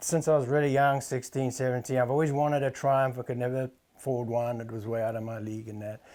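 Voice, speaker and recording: A man with a South African accent speaks in a medium pitch with a dark, mellow tone and big swings in loudness, on a very clean recording with a silent background. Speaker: motorcycle restorer, former tack store owner. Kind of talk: casual interview.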